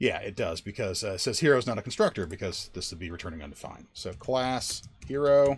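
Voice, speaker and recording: A man at medium pitch with vocal fry, very wide pitch swings, big swings in loudness and a very fast pace, on a very clean recording with a silent background. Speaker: software developer live-coding streamer. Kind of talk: live coding tutorial. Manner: animated.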